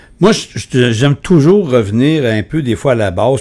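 A man speaks with a Quebec accent at a medium pitch. His intonation is lively. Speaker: podcast host. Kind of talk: interview.

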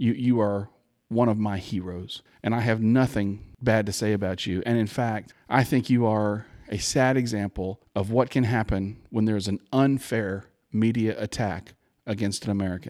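An unremarkable speaking voice talks at a moderate pace with fairly even intonation in a very clean recording with a silent background. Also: man, fairly low pitch for a man. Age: 60s. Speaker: political commentator guest. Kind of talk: casual political discussion.

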